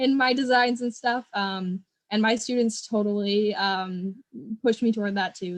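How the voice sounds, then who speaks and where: This is a woman's voice. She speaks in an American accent. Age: 20s. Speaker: educator and nonprofit founder. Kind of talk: interview. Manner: casual, enthusiastic.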